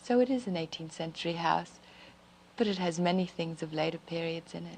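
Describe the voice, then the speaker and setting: Speaking at a fairly quick pace, a woman with a fairly low voice and an unremarkable speaking voice uses ordinary pitch variation while her loudness swings widely. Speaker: First Lady being interviewed. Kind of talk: interview answer. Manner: soft-spoken, gentle.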